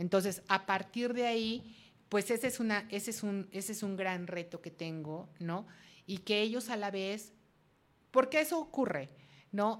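An unremarkable speaking voice from a woman at medium pitch, ordinary pitch variation and a fairly slow pace, on a very clean recording with a silent background. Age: 50s. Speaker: reiki practitioner and radio host. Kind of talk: interview.

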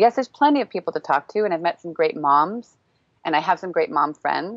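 A woman with an American accent and an unremarkable speaking voice talks at a fairly quick pace in a fairly low pitch. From United States. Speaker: parenting coach and podcaster. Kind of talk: casual chat. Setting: video call.

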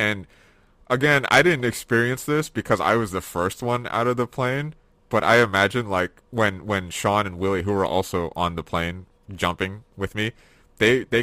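On a very clean recording with a silent background, a man speaks at a fairly quick pace with a fairly low pitch, ordinary pitch variation and a bright, sharp tone. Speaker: podcast host. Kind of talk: casual chat.

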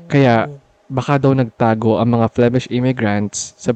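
A man speaks at a medium pitch with a dark, mellow tone, in a dry, close sound with no echo. His intonation is monotone and flat, at a moderate pace. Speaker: podcast co-host; marine biologist. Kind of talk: casual storytelling chat.

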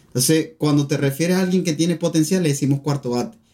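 With a Venezuelan accent, a man talks at a fairly quick pace. His tone is dark and mellow, with ordinary pitch variation. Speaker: podcast co-host. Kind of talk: casual chat.

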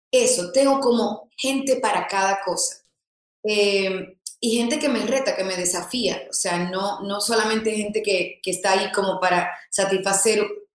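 Audible room echo surrounds a woman whose pitch sits in the medium range. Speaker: influencer and content creator. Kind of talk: interview.

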